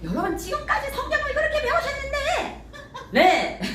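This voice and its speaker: With a North Korean accent, a woman swings her pitch very widely amid audible room echo and noticeable background noise. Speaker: pastor. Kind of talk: sermon. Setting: church. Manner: animated.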